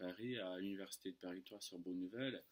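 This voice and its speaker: A man is speaking. His voice sits fairly low in pitch. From United States. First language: English (speaking French). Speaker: French tutor. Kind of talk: casual vlog storytelling. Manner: hesitant, many fillers.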